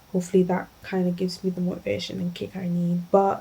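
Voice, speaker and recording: A somewhat breathy woman's voice, medium in pitch, with a dark, mellow tone. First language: not English. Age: 20s. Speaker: lifestyle vlogger. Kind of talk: casual vlog chat. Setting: at home in her room.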